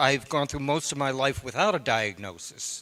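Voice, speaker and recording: A man with a medium pitch talks in an ordinary speaking voice. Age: 60s. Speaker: panelist sharing lived experience. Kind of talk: personal testimony.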